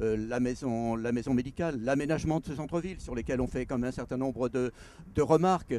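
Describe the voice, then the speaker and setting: Speaking at a very fast pace, a man uses a medium pitch with ordinary pitch variation and a dark, mellow tone. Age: 70s. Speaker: mayor. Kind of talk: interview answer.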